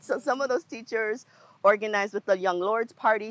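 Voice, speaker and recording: This woman has a normal speaking voice, fairly high in pitch, with an American accent. She talks at a moderate pace, and the sound is dry and close with no echo. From New York City. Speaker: nonprofit co-director and community organizer. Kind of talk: interview conversation.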